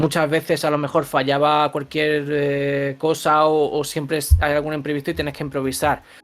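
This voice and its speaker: A man's fairly high, monotone, flat voice at a moderate pace with hardly any pauses, over noticeable background noise. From Andalusia, Granada (Spain). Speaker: voice actor. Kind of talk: interview.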